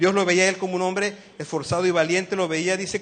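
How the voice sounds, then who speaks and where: A man with a high-pitched voice, speaking at a fairly quick pace. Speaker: lay preacher. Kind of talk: sermon. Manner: fast; animated.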